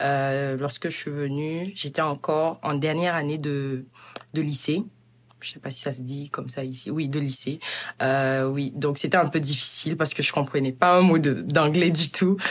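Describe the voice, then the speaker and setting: A woman with a very deep, low pitch talks at a fairly slow pace with fairly even intonation. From Burkina Faso. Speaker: university student. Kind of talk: interview.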